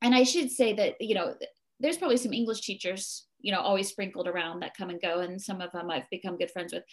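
A woman with a New Jersey accent at medium pitch, quick-paced and lively in intonation. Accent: US East Coast (New Jersey). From New Jersey, US. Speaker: mindfulness teacher and temple co-runner. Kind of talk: interview conversation.

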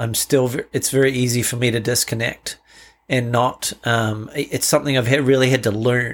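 With a New Zealand accent, the speaker talks at a moderate pace in a monotone, flat intonation. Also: man, medium pitch for a man. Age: 50s. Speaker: father with cancer. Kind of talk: interview conversation. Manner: halting.

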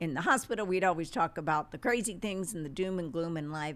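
This is a woman with an unremarkable speaking voice, fairly low in pitch. Her intonation is lively, on a very clean recording with a silent background. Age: 60s. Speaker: medical doctor. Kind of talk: interview.

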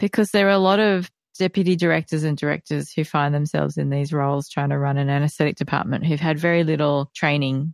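A woman with an Australian accent, her pitch very deep and low, at a fairly quick pace, in a dry, close sound with no echo and a quiet background. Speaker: society president and podcast host. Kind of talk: podcast interview.

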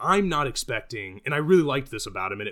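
On a very clean recording with a silent background, a man with an American accent speaks very fast in a bright, sharp tone with lively intonation. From US Midwest. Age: 30s. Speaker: attorney. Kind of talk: casual chat.

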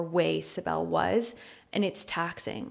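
A woman's fairly low voice with a Californian accent, at a fairly slow pace. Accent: Californian American English. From Los Angeles, US. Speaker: photographer and podcast co-host. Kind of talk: interview, talking about her life.

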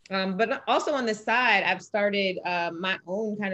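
With a plain, everyday voice, a woman talks at a fairly slow pace in a medium pitch with ordinary pitch variation against a quiet background. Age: 20s. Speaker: former pro track athlete, financial analyst. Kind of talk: interview conversation.

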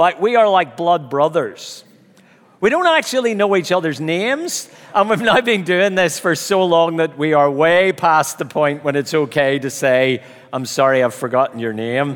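With a Belfast accent, a man speaks at a moderate pace in a fairly high pitch with lively intonation. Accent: Belfast Northern Irish. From Northern Ireland, Belfast. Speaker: preacher. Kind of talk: sermon.

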